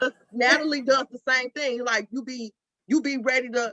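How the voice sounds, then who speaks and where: Loud and animated, a woman speaks in a bright, sharp tone. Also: dry, close sound with no echo. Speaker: panelist mother. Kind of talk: panel discussion.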